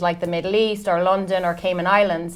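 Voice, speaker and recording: A woman speaks at medium pitch in a monotone, flat delivery. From Ireland. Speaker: recruitment and HR coach. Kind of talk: podcast interview.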